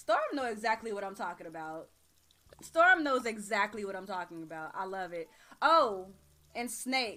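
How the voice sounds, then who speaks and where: A woman talks at medium pitch and a moderate pace with lively intonation. Her loudness swings a lot, and music plays in the background. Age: 30s. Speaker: gaming streamer. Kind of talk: casual chat. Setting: live stream. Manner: relaxed.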